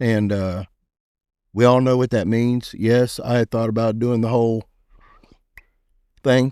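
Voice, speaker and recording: A man with a Texan accent speaks at a fairly slow pace and medium pitch in a flat monotone, with a dark, mellow tone, long, frequent pauses, and a dry, close sound with no echo. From Pasadena, Texas. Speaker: entrepreneur. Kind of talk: interview answer. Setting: training facility.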